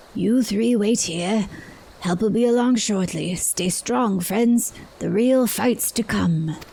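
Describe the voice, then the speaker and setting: A female-sounding, put-on character voice at a medium pitch speaks at a fairly slow pace. Light background noise sits behind it. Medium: game stream. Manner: folksy, reassuring.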